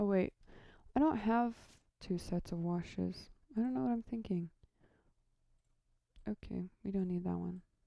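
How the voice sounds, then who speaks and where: This soft-spoken woman has a dark, mellow, relaxed tone and lively intonation. She talks at a moderate pace with long, frequent pauses. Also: medium pitch for a woman. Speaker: lighting programmer streamer. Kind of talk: casual live stream tutorial. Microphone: audio too quiet.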